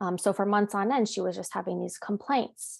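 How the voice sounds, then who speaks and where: Against a quiet background, a woman with an unremarkable speaking voice talks at a moderate pace, with medium pitch and ordinary pitch variation. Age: 30s. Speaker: bereaved daughter sharing her story. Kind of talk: personal testimony. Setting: video call.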